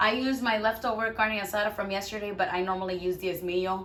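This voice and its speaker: A woman at medium pitch and a moderate pace, with noticeable background noise and audible room echo. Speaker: cooking vlogger. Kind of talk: cooking tutorial. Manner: stumbling over words; casual, chatty.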